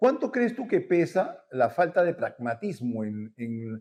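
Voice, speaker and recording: A man's fairly high pitch carries a dark, mellow tone. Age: 60s. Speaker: talk show host, transport analyst. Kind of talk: interview. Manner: halting, many fillers.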